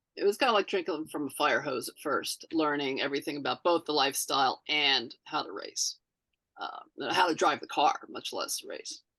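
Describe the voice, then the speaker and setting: Big swings in loudness from a woman at a moderate pace. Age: 60s. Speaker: amateur racing driver. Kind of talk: casual chat. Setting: podcast recording. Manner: halting.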